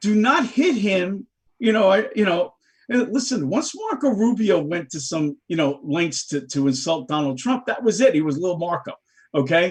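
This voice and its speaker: Speaking in a New York accent, a man uses a high pitch with very wide pitch swings and an animated tone at a moderate pace. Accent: New York (Bronx). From New York City, the Bronx. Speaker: political talk show guest. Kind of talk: casual political discussion. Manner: animated, emphatic.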